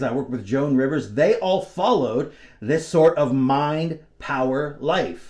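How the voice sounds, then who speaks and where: A man's voice over noticeable background noise. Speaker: mentalist performer. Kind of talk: motivational talk to camera.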